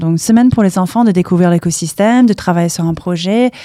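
A woman at medium pitch with an English accent, very fast pace, ordinary pitch variation, and noticeable background noise. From US, Palo Alto, California. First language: English (speaking French). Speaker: startup campus director. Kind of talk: interview. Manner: halting.

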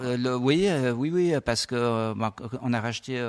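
A medium-pitched male voice with ordinary pitch variation, in a very clean recording with a silent background. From French-speaking Switzerland (Lausanne). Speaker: winery owner and tech entrepreneur. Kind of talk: radio interview. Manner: hesitant, many fillers.

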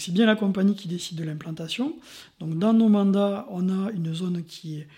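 Ordinary pitch variation runs through a voice of dark, mellow tone. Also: man. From France, Montpellier. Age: 40s. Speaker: insurance agent. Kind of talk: casual interview.

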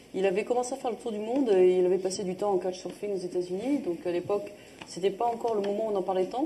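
Over noticeable background noise, a woman talks very fast at a medium pitch with ordinary pitch variation. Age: 40s. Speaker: entrepreneur and sustainability NGO founder. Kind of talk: live panel interview.

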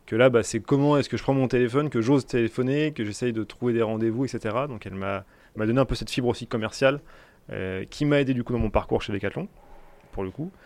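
A man at medium pitch, with ordinary pitch variation and a quiet background. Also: fairly quick pace. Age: 20s. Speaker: business owner. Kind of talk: interview. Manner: halting.

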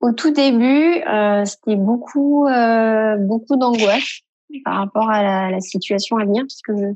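Against a quiet background, a woman with an unremarkable speaking voice talks at a fairly slow pace, her fairly high pitch showing ordinary variation. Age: 40s. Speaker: radiologist. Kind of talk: recorded testimony.

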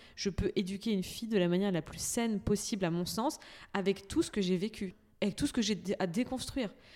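In a very clean recording with a silent background, a woman speaks at a medium pitch with a dark, mellow tone and ordinary pitch variation. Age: 30s. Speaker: entrepreneur, cosmetics brand founder. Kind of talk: casual chat.

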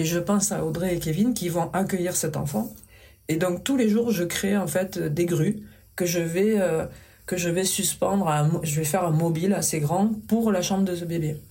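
A woman's fairly low, somewhat breathy voice with a dark, mellow tone and a southwestern French accent, with audible room echo. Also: ordinary pitch variation, moderate pace. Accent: southwestern French accent, still present. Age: 50s. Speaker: paper sculptor and craftswoman. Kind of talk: interview conversation. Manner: gentle, soft.

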